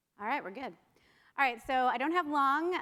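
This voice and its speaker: With a bright, sharp tone and lively intonation, a high-pitched woman speaks in a raised, projected voice. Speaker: marketing panelist. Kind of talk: conference presentation. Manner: fast.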